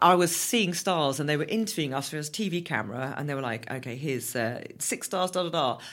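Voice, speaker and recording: A woman with a southern English accent speaks fairly quickly with hardly any pauses. Her very deep, low voice has a bright, sharp tone and lively intonation. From southern England. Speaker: endurance runner and fitness instructor. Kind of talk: interview. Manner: animated.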